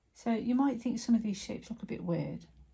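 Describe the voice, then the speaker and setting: A woman speaks with vocal fry and a dark, mellow tone. Her intonation stays fairly even. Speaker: artist teaching painting. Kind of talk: tutorial. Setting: painting at easel, real time. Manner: whispering.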